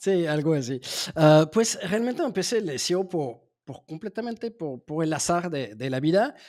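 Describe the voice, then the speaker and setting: His intonation is lively. The man's tone is dark and mellow. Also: fairly high pitch for a man, fairly slow pace. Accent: slight French. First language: French (speaking Spanish). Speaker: SEO agency founder. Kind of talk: interview. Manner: halting, many fillers and repetitions.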